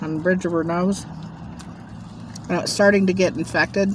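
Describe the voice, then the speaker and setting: A woman of fairly low pitch with fairly even intonation over noticeable background noise. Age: 60s. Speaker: mukbang vlogger. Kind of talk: casual storytelling while eating.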